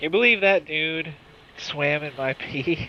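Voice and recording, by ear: A man uses a nasal, put-on character voice. It sits at a fairly high pitch and moves at a fairly slow pace.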